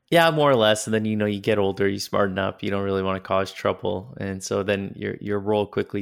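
In a normal speaking voice, a man with a Canadian accent talks at a fairly quick pace, fairly low in pitch with fairly even intonation, on a very clean recording with a silent background. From northern Canada, Yellowknife. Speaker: entrepreneur. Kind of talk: interview.

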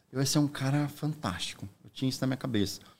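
In a very clean recording with a silent background, a man with an unremarkable speaking voice and medium pitch talks at a fairly quick pace. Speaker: real estate broker. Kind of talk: casual chat.

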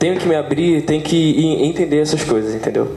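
A man with a fairly high voice talks at a fairly quick pace amid noticeable background noise. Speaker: podcast co-host. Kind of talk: casual chat.

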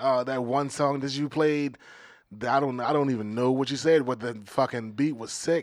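A man's medium-pitched, plain, everyday voice, with an American accent, fairly even intonation and a moderate pace. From Maryland, US. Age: 30s. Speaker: comedian. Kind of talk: casual chat.

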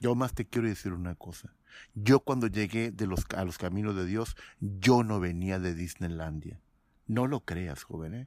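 Heard in a very clean recording with a silent background, a man with an ordinary speaking voice talks at a fairly slow pace and fairly low pitch, with ordinary pitch variation. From Mexico. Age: 50s. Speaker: former pastor. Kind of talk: testimony.

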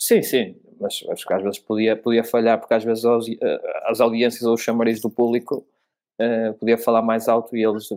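Speaking in a European Portuguese accent, a man holds a medium pitch with monotone, flat intonation at a moderate pace. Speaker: F1 podcast host. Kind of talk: casual chat. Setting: remote recording.

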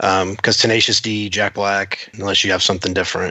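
A man with an unremarkable speaking voice, fairly low in pitch, at a moderate pace. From Florida (Titusville). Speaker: economic development professional, quiz contestant. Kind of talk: casual quiz chat.

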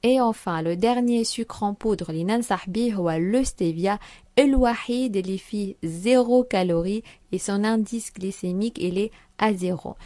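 A woman's dark, mellow tone at medium pitch, with ordinary pitch variation and a fairly slow pace. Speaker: nutrition segment presenter. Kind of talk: informative nutrition segment.

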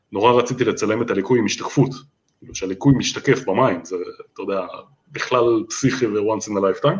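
A man speaks at a very fast pace and a medium pitch with ordinary variation. His loudness swings widely. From Israel, Holon. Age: 40s. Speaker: landscape photographer. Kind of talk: interview.

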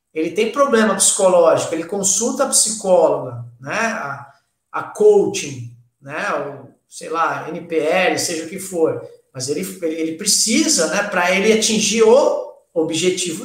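Amid audible room echo, a man with a high pitch talks at a very slow pace with lively intonation. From Brazil, Santos area (São Paulo coast). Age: 40s. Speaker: taekwondo master. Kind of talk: casual chat.

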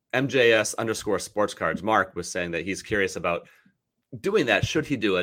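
A man talks in a bright, sharp tone with ordinary pitch variation. The recording is very clean with a silent background. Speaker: podcast host. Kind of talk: interview conversation. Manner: fast talker; excitable.

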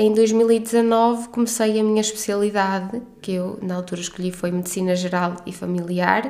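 Audible room echo surrounds a voice in a northern Portuguese accent, at a fairly slow pace with fairly even intonation. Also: woman. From northern Portugal. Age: 30s. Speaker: podcast host, doctor. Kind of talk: personal monologue.

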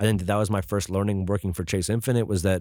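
The recording is very clean, with a silent background. A man with an American accent speaks at a fairly low pitch. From Westchester, New York. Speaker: streetwear brand founder. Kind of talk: casual interview chat.

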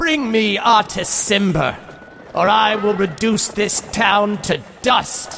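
In a put-on character voice pitched high, a man speaks at a fairly slow pace with clear background noise. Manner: menacing, threatening.

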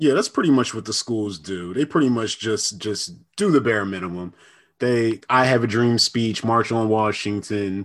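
A man with an American accent speaks at a moderate pace in a normal speaking voice of medium pitch with ordinary pitch variation. The background is quiet. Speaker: podcast co-host. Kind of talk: casual chat.

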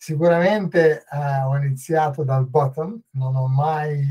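This man's voice sits fairly high in pitch and is somewhat breathy. Its tone is dark and mellow. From northern Italy. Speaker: agency executive and author. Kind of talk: podcast interview. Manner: halting.

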